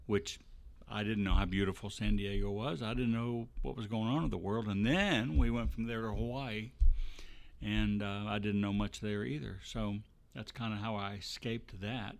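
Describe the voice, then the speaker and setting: An ordinary speaking voice: a man with an American accent, fairly low pitch, ordinary pitch variation and a moderate pace. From Texas. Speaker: church ministry staff. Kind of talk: interview storytelling.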